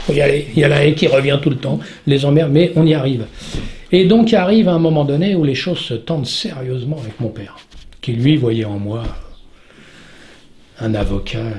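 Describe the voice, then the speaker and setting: A man with a fairly high pitch and lively intonation speaks at a moderate pace with long, frequent pauses amid noticeable background noise. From southern France. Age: 60s. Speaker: stuntman. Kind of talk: interview answer. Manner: talkative.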